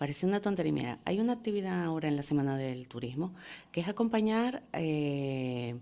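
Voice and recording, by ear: A low-pitched woman with a dark, mellow tone, lively intonation and a fairly quick pace.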